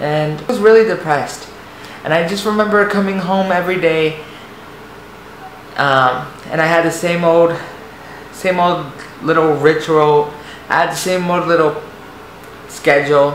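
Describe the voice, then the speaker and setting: A man speaks in a high-pitched voice with fairly even intonation and long, frequent pauses. The recording carries noticeable background noise and audible room echo. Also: moderate pace. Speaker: vlogger. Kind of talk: personal testimony. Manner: halting, repeats words.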